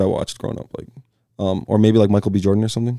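Speaking at a very fast pace, a man uses a fairly low pitch, a dark, mellow tone and monotone, flat intonation. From Michigan, suburb of Detroit. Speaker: professional soccer player. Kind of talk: casual chat. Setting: studio.

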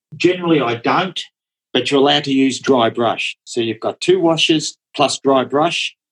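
In an Australian accent, a man talks at a moderate pace with a fairly high pitch and ordinary pitch variation, the sound dry and close with no echo. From Australia, Melbourne. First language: Dutch. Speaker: watercolour painter. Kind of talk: casual interview.

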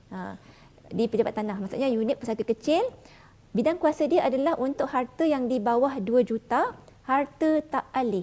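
Here a woman speaks in a high pitch with ordinary pitch variation. Her pace is moderate and her tone dark and mellow. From Johor, Malaysia. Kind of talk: live-streamed talk show interview. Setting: hotel room set.

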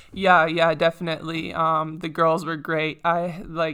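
This is a woman with a slight Canadian accent. Her voice sits fairly low. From Saskatchewan, Canada. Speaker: professional basketball player. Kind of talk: casual interview.

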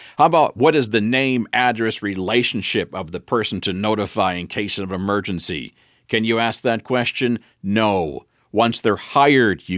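In a very clean recording with a silent background, a man with an American accent talks at a moderate pace, his fairly low voice rising and falling in a lively way. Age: 50s. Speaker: leadership speaker and trainer. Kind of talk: solo podcast talk. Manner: direct, blunt.

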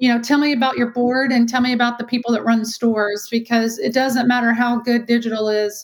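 Speaking at a fairly quick pace, a woman with a Texan accent uses a high pitch and a monotone, flat intonation. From Texas. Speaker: retail marketing and IT executive. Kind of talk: interview.

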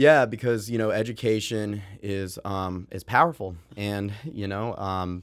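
An unremarkable speaking voice with fairly even intonation, on a very clean recording with a silent background. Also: man. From US, moved around; mainly Maine. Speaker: software founder and music educator. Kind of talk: interview.

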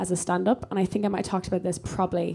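A woman with an Irish accent speaks with fairly even intonation. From Ireland. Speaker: comedian. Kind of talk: live podcast recording, casual chat. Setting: stage with audience.

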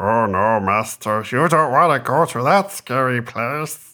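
A put-on character voice from a man, pitched at a medium level. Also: fairly slow pace. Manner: pleading, fearful.

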